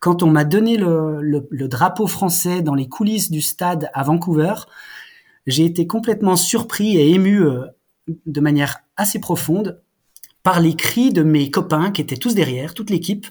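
Speaking at a fairly slow pace with long, frequent pauses, a man has a high-pitched voice. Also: ordinary pitch variation. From France, Jura (Haut-Doubs). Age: 40s. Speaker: former Olympic athlete and clothing brand founder. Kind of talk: interview. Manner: halting, many repetitions.

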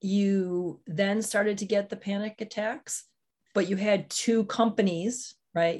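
A woman speaks in a somewhat breathy voice. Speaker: podcast host. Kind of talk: interview, podcast intro and outro.

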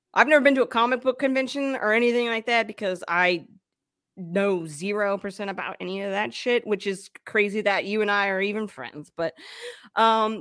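With a plain, everyday voice, a woman talks at a moderate pace and a fairly high pitch, her pitch varying in an ordinary way while her loudness swings widely. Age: 30s. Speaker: podcast host being interviewed. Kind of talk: casual interview chat.

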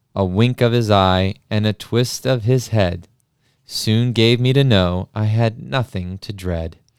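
A man's ordinary speaking voice, fairly low in pitch, with ordinary pitch variation and a fairly slow pace, in a dry, close sound with no echo on a very clean recording with a silent background. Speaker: podcast host. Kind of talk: dramatic poem reading, taking turns by stanza.

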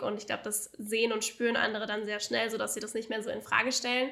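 Talking at a very fast pace, a woman uses a fairly high-pitched voice with a bright, sharp tone and vocal fry. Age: 20s. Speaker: business coach. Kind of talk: casual interview. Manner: animated.

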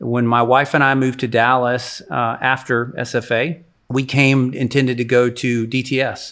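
A man at a medium pitch with monotone, flat intonation, on a very clean recording with a silent background. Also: moderate pace. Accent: American. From East Texas. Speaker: nonprofit founder. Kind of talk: interview. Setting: in a kitchen.

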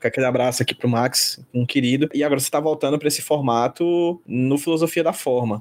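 A man with a normal speaking voice talks at a fairly quick pace and fairly high pitch, with fairly even intonation and hardly any pauses, on a very clean recording with a silent background. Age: 30s. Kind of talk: interview.

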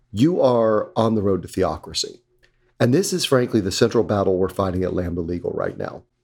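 With an unremarkable speaking voice, a man of medium pitch talks in an American accent with lively intonation. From US South, North Carolina. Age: 50s. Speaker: LGBT rights organization leader. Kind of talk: interview.

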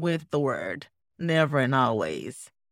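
Against a very clean recording with a silent background, a woman speaks at a fairly slow pace in a dry, close sound with no echo. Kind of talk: educational podcast discussion.

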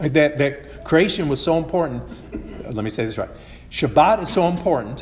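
With noticeable background noise behind him, a man in an American accent talks at a moderate pace and fairly high pitch, his intonation lively and broken by long, frequent pauses. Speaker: Bible teacher, preacher. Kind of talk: sermon or Bible teaching, with consecutive Spanish interpretation.

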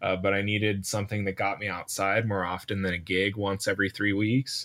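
Fairly low in pitch, a man's voice comes across on a very clean recording with a silent background. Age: 20s. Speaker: musician, guitarist. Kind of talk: casual chat. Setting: home studio.

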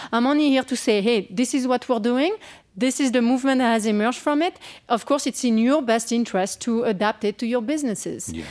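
A woman talks very fast at a high pitch. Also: ordinary pitch variation. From south of France. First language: French. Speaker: author. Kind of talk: interview. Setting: stage with audience.

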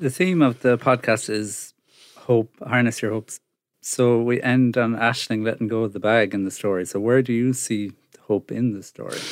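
Recorded very cleanly against a silent background, a man speaks with an Irish accent. His pitch is medium, his pace moderate, and his intonation fairly even. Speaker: podcast presenter and producer. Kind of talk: interview and show introduction.

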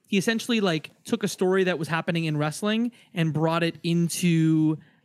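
A man with a Canadian accent speaks at a moderate pace. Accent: Canadian, close to Detroit American. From Windsor, Ontario, Canada. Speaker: podcaster guest. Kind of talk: casual chat.

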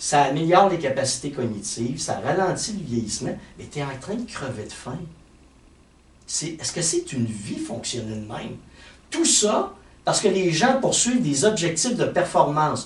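Audible room echo surrounds a man with a fairly high pitch. His pitch swings very widely, broken by long, frequent pauses. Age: 50s. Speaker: fitness and health coach. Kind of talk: casual chat.

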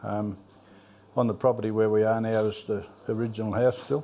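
A man's medium-pitched voice in a rural Australian accent, dark and mellow in tone, with fairly even intonation. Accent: broad rural Australian. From Australia, rural Victoria (Trentham). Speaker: local old-timer. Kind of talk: casual reminiscing interview. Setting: pub.

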